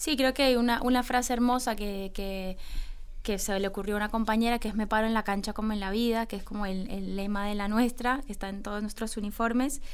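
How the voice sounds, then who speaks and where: Speaking at a fairly quick pace, a woman with a fairly high pitch keeps her intonation fairly even amid audible room echo. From Colombia. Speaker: women's football coach and former player. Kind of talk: radio interview.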